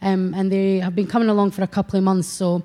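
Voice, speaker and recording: Fairly quick and monotone, a woman speaks with flat intonation at medium pitch. Her tone is dark and mellow, in a very clean recording with a silent background. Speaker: church youth worker. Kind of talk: testimony. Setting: church. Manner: halting.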